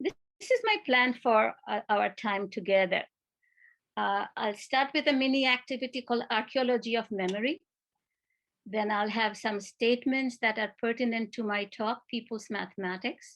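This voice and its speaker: With a Bengali accent, a woman speaks at a moderate pace in a fairly high voice. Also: ordinary pitch variation. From India, Kolkata. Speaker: retired education professor. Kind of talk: conference talk.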